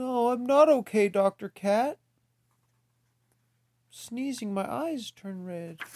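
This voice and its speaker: A man puts on a character voice in an extremely high pitch. He speaks at a fairly slow pace, with long, frequent pauses. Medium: read story. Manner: anxious, dramatic.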